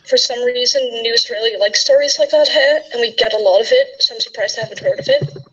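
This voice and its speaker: Noticeable background noise sits behind a woman's voice. She talks very fast with hardly any pauses. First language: Dutch. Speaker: panel guest. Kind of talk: casual chat.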